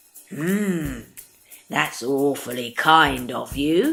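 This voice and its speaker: In a put-on character voice, the speaker goes very slowly at a low-to-middle pitch. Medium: read story. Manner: sly, wheedling.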